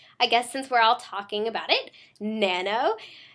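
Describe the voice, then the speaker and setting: An animated tone comes through on a very clean recording with a silent background. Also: woman. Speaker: vlogger. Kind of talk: casual video diary.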